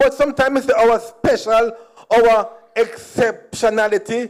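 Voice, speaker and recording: A man speaks with a Jamaican accent. His pitch is high. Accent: Jamaican, with patois. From Jamaica (Kingston, Trenchtown). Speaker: comedian. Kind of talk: stand-up. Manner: animated.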